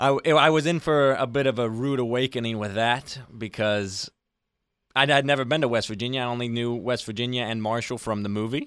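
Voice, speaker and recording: With an American accent, a man talks in a plain, everyday voice at medium pitch and a fairly quick pace, his intonation fairly even. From Arizona. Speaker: college soccer player and radio intern. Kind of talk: casual chat.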